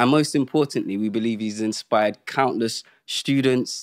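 In a quiet background, a man talks at a moderate pace with ordinary pitch variation. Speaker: podcast host. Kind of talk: host introduction. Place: studio.

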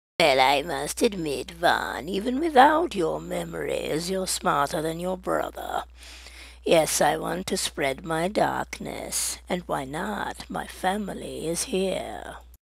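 A put-on character voice at a fairly slow pace. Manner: smug, theatrical, menacing.

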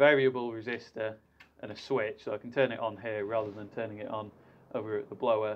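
Light background noise sits under a man's voice. He talks at a fairly quick pace with fairly even intonation. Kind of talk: tutorial. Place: workshop. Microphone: camera far.

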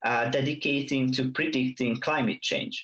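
A Hungarian accent over a quiet background. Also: man. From Hungary. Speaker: university student giving a tech talk; presenter. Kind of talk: conference presentation. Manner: hesitant, many fillers. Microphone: headset.

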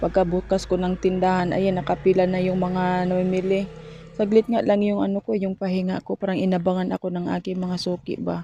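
A woman speaks at a fairly quick pace in a medium, somewhat breathy voice with a dark, mellow tone and monotone, flat intonation. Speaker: vlogger and sari-sari store owner. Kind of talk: casual vlog.

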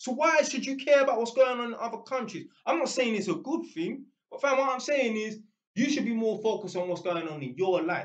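Speaking at a fairly quick pace in a London accent, the voice has an animated tone and lively intonation. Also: man, extremely high pitch for a man. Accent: London Multicultural English. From London, England. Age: 30s. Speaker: YouTuber. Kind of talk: casual monologue rant. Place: home room. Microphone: webcam.

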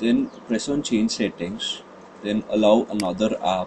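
Against noticeable background noise, a man talks at a moderate pace in a flat monotone. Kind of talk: casual tech tutorial talk.

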